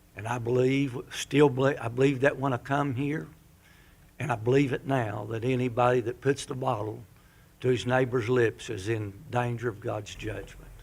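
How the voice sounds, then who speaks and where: This man speaks at a moderate pace with medium pitch. His voice is somewhat breathy and his intonation fairly even. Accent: American. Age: 70s. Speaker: pastor. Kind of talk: public comment at town council meeting. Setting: town council meeting chamber. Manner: halting.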